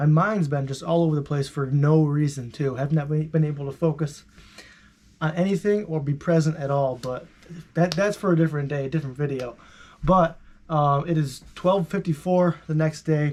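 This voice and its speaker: A man with a fairly high pitch speaks in a somewhat breathy voice and fairly even intonation. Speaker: vlogger. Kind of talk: casual vlog monologue. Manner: fast; halting, many fillers and repeats.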